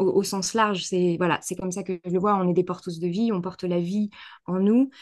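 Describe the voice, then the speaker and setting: A woman's medium-pitched voice with fairly even intonation over a quiet background. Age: 30s. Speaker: naturopath and holistic therapist. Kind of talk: casual interview. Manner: hesitant, many fillers and repetitions.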